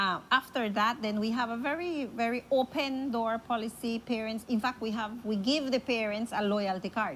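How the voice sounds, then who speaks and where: With a Spanish accent, the speaker talks at a moderate pace with hardly any pauses and ordinary pitch variation. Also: woman, fairly high pitch for a woman. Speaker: school principal. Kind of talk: interview.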